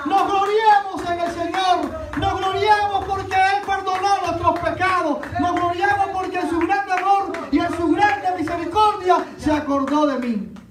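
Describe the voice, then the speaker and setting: A man with an extremely high pitch, fairly even intonation and a fairly slow pace, amid noticeable background noise and audible room echo. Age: 60s. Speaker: pastor. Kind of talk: sermon.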